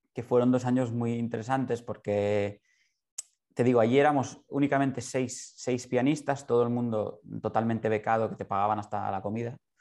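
Over a quiet background, a man with a normal speaking voice and a medium pitch talks at a moderate pace, his intonation fairly even. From Barcelona, Spain. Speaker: concert pianist. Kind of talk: interview.

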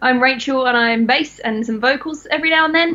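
A high-pitched woman's bright, sharp voice at a fairly quick pace, with ordinary pitch variation

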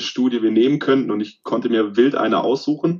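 A man with an unremarkable speaking voice talks at a fairly quick pace, using a medium pitch and ordinary pitch variation. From southern Germany, Remstal east of Stuttgart (Swabia). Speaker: sports scientist and lecturer. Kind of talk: interview.

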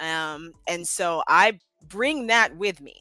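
A woman with an American accent speaks at a fairly low pitch with ordinary pitch variation, the sound dry and close with no echo and music in the background. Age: 20s. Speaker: political campaigner. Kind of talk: casual chat.

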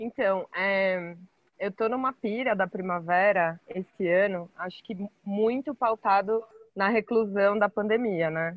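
Here a woman talks at a very slow pace. Her pitch is medium. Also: ordinary pitch variation. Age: 30s. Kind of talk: casual chat.

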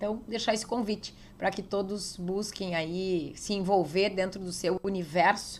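A woman with a plain, everyday voice speaks at a moderate pace and medium pitch, with fairly even intonation and hardly any pauses. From southern Brazil, interior of Rio Grande do Sul (Getúlio Vargas). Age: 40s. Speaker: state legislator and former police chief. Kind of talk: interview. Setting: politician's office.

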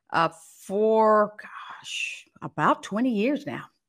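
A woman is speaking. The recording is very clean, with no sound at all behind her voice. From California (Los Angeles, Fresno). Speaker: former news anchor. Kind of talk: interview.

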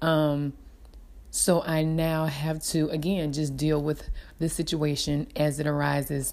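Very deep and low, a woman's voice holds a monotone, flat intonation in a very clean recording with a silent background. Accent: Southern US. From US South. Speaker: mother sharing experiences. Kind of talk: personal reflection.

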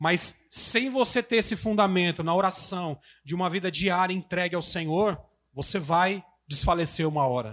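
The recording is very clean, with a silent background. A man with a high pitch speaks at a moderate pace with ordinary pitch variation. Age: 30s. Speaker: preacher. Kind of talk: sermon.

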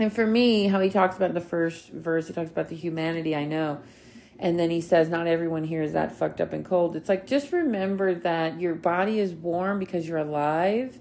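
Here a woman uses a plain, everyday voice at a fairly low pitch. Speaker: podcast host. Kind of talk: solo podcast monologue.

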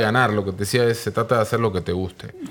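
The speaker is a man with a fairly low pitch. Noticeable background noise can be heard. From Argentina, Mar del Plata. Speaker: music manager. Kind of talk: casual chat.

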